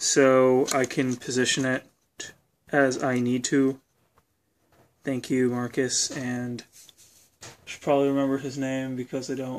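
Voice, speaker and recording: Speaking at a fairly slow pace, a man pauses long and often. His medium-pitched voice stays monotone and flat. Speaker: hobbyist robot builder. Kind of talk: casual video demo. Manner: halting, many fillers.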